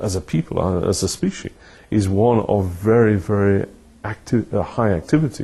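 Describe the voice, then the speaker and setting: A man with a British accent, fairly low pitch, a dark, mellow and somewhat breathy tone, ordinary pitch variation and a moderate pace. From United Kingdom. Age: 70s. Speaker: retired professor. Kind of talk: interview.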